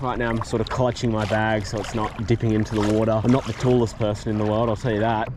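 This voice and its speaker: A man with an Australian accent talks at a very fast pace. Noticeable background noise runs underneath. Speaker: fishing youtuber. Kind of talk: casual vlog narration. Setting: outdoors, wading in the ocean. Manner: monotone.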